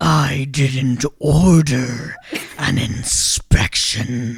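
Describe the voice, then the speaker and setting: Put on as a character voice, this raspy, booming, bellowing delivery sits at a low-to-middle pitch and moves at a very slow pace. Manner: imposing, bellowing.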